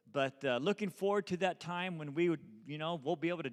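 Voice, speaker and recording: A man's voice at a fairly quick pace, with lively intonation. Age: 60s. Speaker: visiting church leader. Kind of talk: sermon. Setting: church. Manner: halting.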